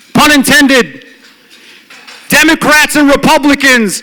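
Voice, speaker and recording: A raised, projected voice with an American accent and ordinary pitch variation comes through noticeable background noise. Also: man. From Detroit, US Midwest. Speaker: law professor. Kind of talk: speech. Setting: stage with audience. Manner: loud; animated.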